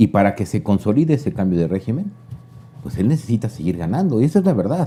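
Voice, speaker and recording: This man's voice has a dark, mellow tone and is somewhat breathy. He talks at a very fast pace with very wide pitch swings. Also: medium pitch for a man. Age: 60s. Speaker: political commentator. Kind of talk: casual chat.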